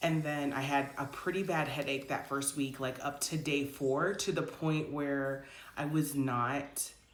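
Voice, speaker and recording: A woman's very deep, low-pitched voice comes with audible room echo. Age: 40s. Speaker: health vlogger. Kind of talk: casual vlog monologue. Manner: frequent filler words, conversational.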